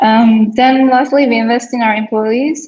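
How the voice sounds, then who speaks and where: The intonation stays fairly even. The pace is fairly slow. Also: woman. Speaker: software team lead presenting company. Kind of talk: company informational presentation. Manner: shaky voice when talking long; casual, hesitant with fillers.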